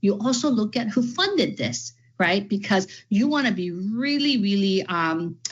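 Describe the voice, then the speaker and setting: An enthusiastic woman with an American accent speaks at a moderate pace, her somewhat breathy voice at medium pitch making very wide pitch swings. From California. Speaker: education trainer, former teacher and principal. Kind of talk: workshop presentation.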